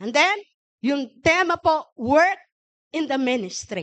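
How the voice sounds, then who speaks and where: Recorded dry and close with no echo, a woman speaks very slowly in a high voice whose pitch swings very widely. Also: quiet background. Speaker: pastor. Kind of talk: sermon. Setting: church.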